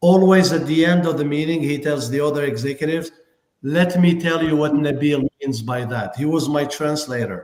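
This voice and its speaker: Moderate-paced speech from a man with a strong non-native accent, fairly high pitch and ordinary pitch variation. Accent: big foreign. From Algeria and France. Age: 40s. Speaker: tech company executive. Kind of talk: live show interview. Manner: enthusiastic, energetic.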